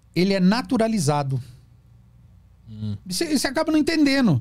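A man's dark, mellow, somewhat breathy voice at a moderate pace, with very wide pitch swings, over a quiet background. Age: 50s. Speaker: psychoanalyst. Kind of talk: casual interview. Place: studio. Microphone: studio mic.

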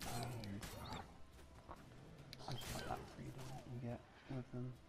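Soft-spoken and very slow, a man talks at a medium pitch with fairly even intonation over noticeable background noise. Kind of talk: ASMR gameplay commentary.

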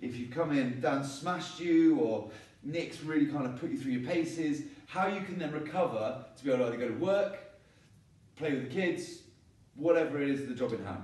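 This man talks rather briskly, and the room's reverberation can clearly be heard. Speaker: gym coach. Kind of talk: promotional announcement to gym members. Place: gym. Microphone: camera far.

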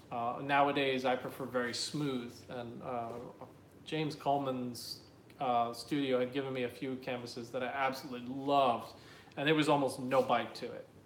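A man with an American accent speaks at a moderate pace in a monotone, flat intonation. The recording has audible room echo and light background noise. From New Jersey. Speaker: artist. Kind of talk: live Q&A stream. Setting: live video stream. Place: home room. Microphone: phone near.

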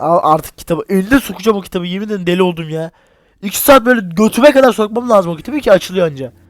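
Speaking at a very fast pace, a man with a high pitch sounds animated, his intonation lively. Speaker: gaming YouTuber. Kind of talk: horror game let's play commentary. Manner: animated, exclamatory.

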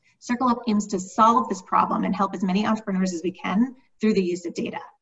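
A woman at a fairly quick pace, with ordinary pitch variation and a quiet background. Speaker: panel host. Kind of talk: webinar introduction. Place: home room. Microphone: webcam.

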